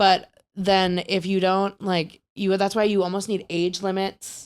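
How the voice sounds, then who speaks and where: Speaking at a fairly slow pace with a slight Wisconsin accent, the woman has a medium pitch and monotone, flat intonation. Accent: Wisconsin, slight, comes out on some words. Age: 30s. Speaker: podcast host. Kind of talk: casual chat.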